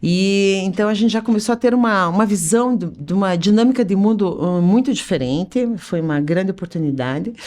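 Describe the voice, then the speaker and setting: A woman speaks at a medium pitch and a moderate pace with lively intonation. She has an unremarkable speaking voice, heard in a very clean recording with a silent background. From Curitiba, Paraná, southern Brazil. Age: 50s. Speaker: business association president, entrepreneur. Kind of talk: podcast interview.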